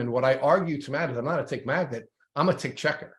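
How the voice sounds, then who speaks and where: Over a quiet background, the voice is somewhat breathy and very fast, with ordinary pitch variation. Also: man. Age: 60s. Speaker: podcast host. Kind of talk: interview. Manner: halting.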